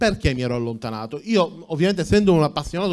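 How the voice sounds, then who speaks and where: A man's fairly high-pitched voice against a quiet background. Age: 40s. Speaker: tech entrepreneur; conference speaker. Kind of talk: conference talk. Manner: halting, many fillers. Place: hall. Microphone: handheld.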